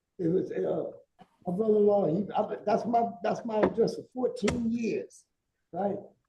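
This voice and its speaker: This man speaks with a high pitch and a dark, mellow tone. His pace is moderate and his intonation fairly even. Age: 70s. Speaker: defendant. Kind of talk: court testimony. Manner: halting, repetitive.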